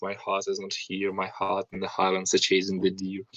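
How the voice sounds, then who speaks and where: A man speaks with a Russian accent. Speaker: book club participant. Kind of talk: casual chat.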